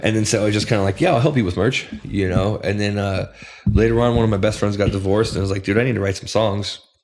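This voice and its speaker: A man's fairly low voice at a very fast pace, fairly even in intonation, over noticeable background noise. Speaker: music producer and bass player. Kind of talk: casual chat.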